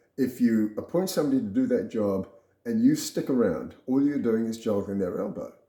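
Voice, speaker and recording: With an Australian accent, this man talks. He moves along at a fairly quick clip. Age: 70s. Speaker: retired businessman sharing health story. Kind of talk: personal talk to camera. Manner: casual, with fillers.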